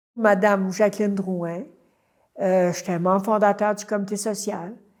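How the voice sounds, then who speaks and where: A woman's medium-pitched voice with a dark, mellow tone, monotone, flat intonation and a fairly slow pace. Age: 80s+. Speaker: community activist. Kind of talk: oral history interview. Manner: hesitant, many fillers.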